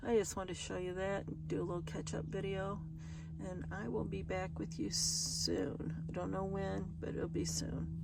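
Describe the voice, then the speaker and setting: Room echo can be heard around this woman's voice. She talks at a moderate speed. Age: 60s. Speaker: van-life vlogger. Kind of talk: casual vlog chat. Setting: outdoors by a river, public area. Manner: halting, casual.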